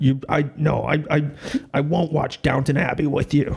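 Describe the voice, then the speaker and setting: A gruff, put-on character voice from a man, fairly high in pitch, flat and monotone, at a moderate pace. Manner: macho, dismissive.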